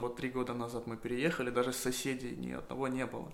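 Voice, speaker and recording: Against audible room echo, a man at medium pitch talks at a fairly quick pace. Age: 20s. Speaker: small livestock farmer. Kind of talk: monologue. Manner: casual.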